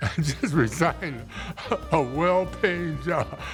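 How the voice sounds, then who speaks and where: Music plays behind a man speaking at a fairly slow pace. His pitch varies in an ordinary way. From Dayton, Ohio. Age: 80s. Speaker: artist and arts educator. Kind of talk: interview answer.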